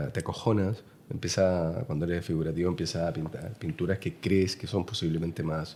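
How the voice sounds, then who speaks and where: The speaker talks with a Chilean accent at a fairly quick pace. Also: man. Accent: Chilean, noticeable. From Chile, Santiago. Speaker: painter. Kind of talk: interview conversation. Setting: artist's studio. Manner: halting, many fillers.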